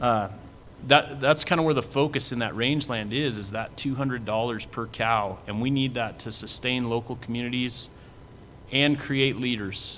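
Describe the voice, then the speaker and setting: Fairly even in intonation, a man with an ordinary speaking voice speaks at a moderate pace. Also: medium pitch for a man. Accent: American. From southeastern Washington. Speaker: cattle industry association executive. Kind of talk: panel presentation.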